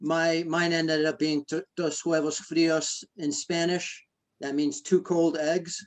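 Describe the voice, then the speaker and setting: The pace here is fairly slow. It's a man, speaking with an American accent. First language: Greek. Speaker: ultramarathon runner. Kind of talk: interview. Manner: hesitant, many fillers.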